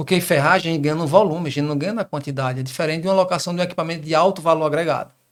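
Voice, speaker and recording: This man has a strong Ceará accent and a fairly high pitch. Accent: fairly strong northeastern Brazilian (Ceará). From Northeast Brazil, Crato, southern Ceará. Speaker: business partner in construction equipment rental. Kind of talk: interview conversation. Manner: repetitive stammering starts.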